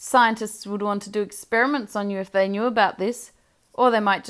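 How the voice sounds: This is a natural reading voice. The background stays quiet.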